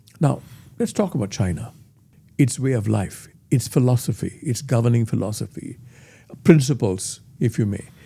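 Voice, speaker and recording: Here a man talks at a medium pitch with lively intonation. His tone is dark and mellow, and somewhat breathy. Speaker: interviewer, editor. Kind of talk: interview questions.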